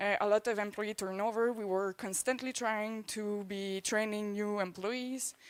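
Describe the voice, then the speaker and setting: A woman at a medium pitch with a Quebec accent, monotone, flat intonation, a moderate pace and hardly any pauses. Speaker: swine production consultant. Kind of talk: conference presentation.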